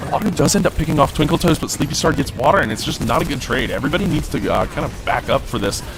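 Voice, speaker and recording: A man talks at a very fast pace with a fairly high pitch and lively intonation, hardly pausing. Music plays in the background. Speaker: esports caster. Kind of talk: live commentary. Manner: animated.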